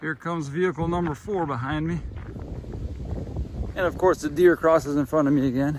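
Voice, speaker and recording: Over noticeable background noise, a man with a fairly high pitch talks at a fairly quick pace in a fairly even intonation, with long, frequent pauses. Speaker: vlogger. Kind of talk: walking vlog monologue. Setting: outdoors, walking on a country road. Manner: casual, rambling.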